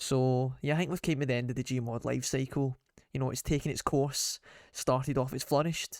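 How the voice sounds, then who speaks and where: Recorded very cleanly against a silent background with a dry, close sound and no echo, a man with a Scottish accent speaks at a moderate pace, his fairly high pitch held in fairly even intonation. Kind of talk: casual rant to camera. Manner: unscripted, off the cuff.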